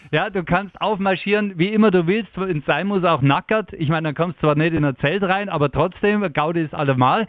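Speaking in a Bavarian accent at a moderate pace, a man with a high pitch and ordinary pitch variation talks with hardly any pauses. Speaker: radio morning show host. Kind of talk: casual chat. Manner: animated.

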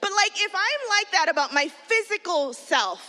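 A woman with an extremely high pitch uses a raised, projected voice, an animated tone that is bright and sharp, and very wide pitch swings at a fairly slow pace. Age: 40s. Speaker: children's pastor. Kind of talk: sermon.

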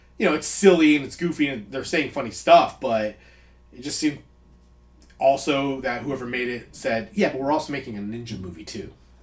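A man speaks at a fairly quick pace in an unremarkable speaking voice, fairly high pitched, with ordinary pitch variation and big swings in loudness. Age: 30s. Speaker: movie podcast co-host. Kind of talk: casual chat.

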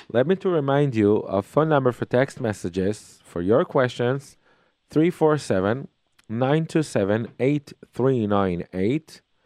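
A man's medium-pitched voice in an Israeli accent, dark and mellow in tone, with lively intonation and a fairly slow pace. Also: dry, close sound with no echo, quiet background. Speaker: radio host and parenting lecturer. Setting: phone call with listener, on visit in New York. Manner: warm, chatty, enthusiastic, with hesitant non-native phrasing.

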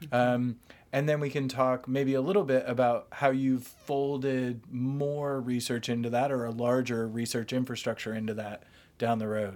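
A plain, everyday voice from a man, fairly even in intonation and moderate in pace, on a very clean recording with a silent background. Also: medium pitch for a man. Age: 40s. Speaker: podcast host and academic. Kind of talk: interview.

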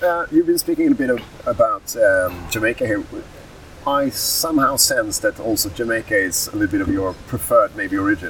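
Noticeable background noise surrounds a man talking at a fairly quick pace in a Swedish accent. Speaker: podcast co-host. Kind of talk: interview. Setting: trade fair in Berlin.

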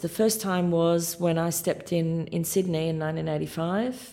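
A woman's fairly low-pitched voice in an Australian accent, at a moderate pace. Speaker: orchestra conductor. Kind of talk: interview.

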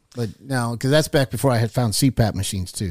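In a very clean recording with a silent background, a man talks at a fairly quick pace. His voice is somewhat breathy, with lively intonation. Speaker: guest. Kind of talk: casual chat. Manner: tired, storytelling.

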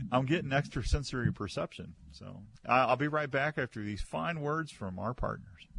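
With a moderate pace and lively intonation, the voice carries noticeable vocal fry. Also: man, medium pitch for a man. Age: 60s. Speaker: radio host. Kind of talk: casual chat. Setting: studio.

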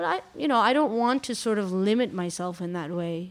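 An unremarkable speaking voice at a fairly quick pace, with ordinary pitch variation, on a very clean recording with a silent background. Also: woman. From Iran, raised in Quebec, Canada. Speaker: journalist and restaurateur. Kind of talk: reflective interview.

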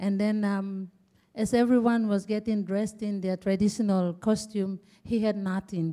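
A woman speaks at a medium pitch with a Papua New Guinean accent and a dark, mellow tone. Her intonation is fairly even and her pace moderate. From Papua New Guinea Eastern Highlands. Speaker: interpreter and project participant. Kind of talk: panel discussion answers, interpreting. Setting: live talk with audience.

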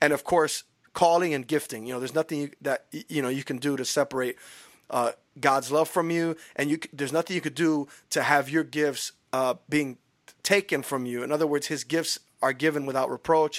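Recorded very cleanly with a silent background and a dry, close sound with no echo, a man with an American accent speaks fairly quickly at a fairly high pitch. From Chicago. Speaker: podcast co-host, rapper and pastor. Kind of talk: casual chat. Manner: animated.

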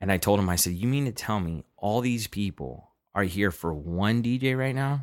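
Recorded very cleanly with a silent background, a man with a Southern California accent uses lively intonation, a fairly low pitch and a moderate pace. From Los Angeles, South Central. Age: 20s. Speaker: house DJ and producer. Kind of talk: casual interview chat.

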